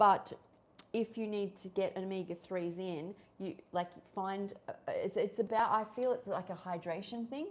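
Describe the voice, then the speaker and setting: A woman with an Australian accent. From Australia, Sydney. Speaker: raw vegan YouTuber and health coach. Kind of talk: livestream chat while cooking. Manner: casual, filler-heavy.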